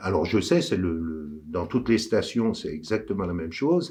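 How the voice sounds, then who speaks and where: A man talks at a moderate pace in a quiet background. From France, Savoie (Courchevel area). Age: 60s. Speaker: local election candidate. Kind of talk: campaign address. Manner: hesitant, with frequent fillers.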